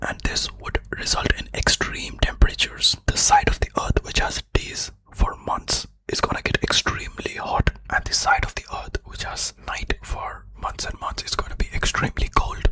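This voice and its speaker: Someone whispers in a calm tone at a moderate pace with hardly any pauses, over noticeable background noise. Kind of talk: ASMR educational fact explainer. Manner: whispered; soft-spoken, calm.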